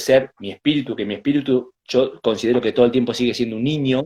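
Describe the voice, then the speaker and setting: Speaking in a Rioplatense accent, a man uses a medium pitch with ordinary pitch variation at a fairly quick pace. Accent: Argentine Spanish (rioplatense). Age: 30s. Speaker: Mapuche shaman and spiritual healer. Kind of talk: interview, personal life story. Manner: halting, many fillers and repetitions.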